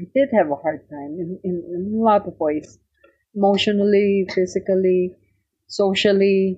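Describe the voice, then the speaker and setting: With a Filipino accent, a woman talks at a fairly slow pace in a medium pitch, using a dark, mellow tone, fairly even intonation and long, frequent pauses. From Philippines, Tarlac. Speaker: cookbook author. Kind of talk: interview, personal reminiscence.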